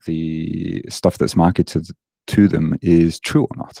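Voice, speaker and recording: A man with a British accent speaks very slowly in a very deep, low voice with a dark, mellow tone, the sound dry and close with no echo. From Britain. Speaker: online fitness coach. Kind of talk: podcast interview.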